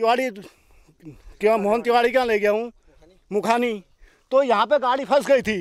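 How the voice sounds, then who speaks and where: The man's pitch is extremely high, with ordinary variation. The sound is dry and close, with no echo. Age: 50s. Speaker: farmer. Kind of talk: street interview.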